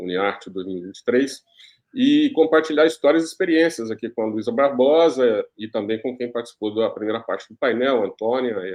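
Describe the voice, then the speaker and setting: With an unremarkable speaking voice, a man talks at a moderate pace and medium pitch, his intonation lively. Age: 60s. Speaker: journalist and executive producer. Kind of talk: panel discussion.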